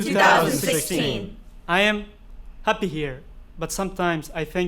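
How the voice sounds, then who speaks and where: Noticeable background noise accompanies speech that moves at a moderate pace. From Afghanistan. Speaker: theatre performer. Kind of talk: theatre monologue.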